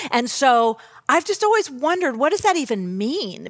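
A woman speaks in an American accent at a moderate pace. The recording is very clean, with a silent background. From Southern California. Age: 50s. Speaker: church staff member preaching. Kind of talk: sermon.

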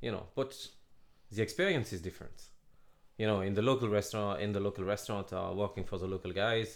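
Very fast speech in a French accent, with long, frequent pauses, on a very clean recording with a silent background. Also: man. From Laval, northwest France. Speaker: head chef. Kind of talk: casual interview chat.

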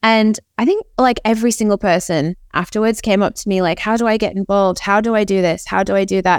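A woman speaks in an ordinary speaking voice at a medium pitch, with fairly even intonation and very even loudness. Her pace is fairly quick, with hardly any pauses. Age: 30s. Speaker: NFT project founder and artist. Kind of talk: interview.

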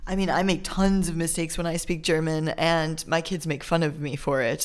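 A woman talks with an American accent at a fairly quick pace. Her very deep, low voice is monotone and flat, over noticeable background noise. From Chicago suburbs, US. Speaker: podcast host, expat parent. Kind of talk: casual chat.

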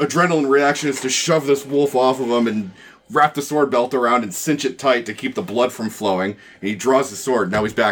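Pitch varies in an ordinary way throughout an unforced reading voice.

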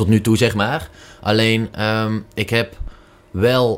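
A man talks at a very slow pace. His pitch sits fairly low. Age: 20s. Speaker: commercial manager. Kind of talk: casual interview.

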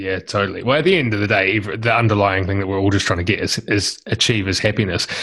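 At a very fast pace, a man talks in a fairly low pitch with fairly even intonation. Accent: New Zealand. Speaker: podcast host. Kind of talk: interview; scripted outro.

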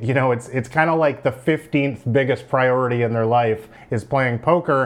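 Here a man has an ordinary speaking voice. His pitch is medium and his pace moderate. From Canada, Vancouver. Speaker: poker player and YouTuber. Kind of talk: tutorial.

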